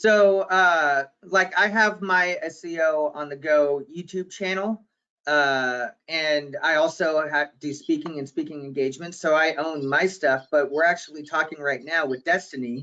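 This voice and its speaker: A man with a fairly high pitch talks at a fairly slow pace. He uses ordinary pitch variation and hardly any pauses. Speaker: digital marketing consultant. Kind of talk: webinar panel discussion. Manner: loud; unscripted.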